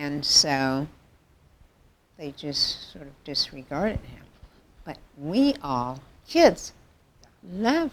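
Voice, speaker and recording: A woman speaks at a very slow pace with long, frequent pauses and big swings in loudness. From US South (Mississippi). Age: 60s. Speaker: interviewee sharing life story. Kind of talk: interview. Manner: halting.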